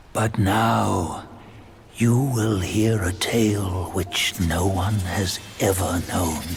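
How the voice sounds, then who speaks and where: In a put-on character voice, a man speaks at a very slow pace in a very deep, low pitch over clear background noise. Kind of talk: legend-telling narration. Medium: video game. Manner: measured, wry.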